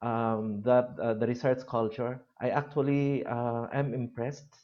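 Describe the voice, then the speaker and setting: Speaking with a Philippine accent, a man keeps a fairly slow pace. His pitch variation is ordinary. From Philippines, Abra province (Ilocos region). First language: Ilocano. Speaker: university lecturer. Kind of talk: lecture. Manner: halting, many fillers.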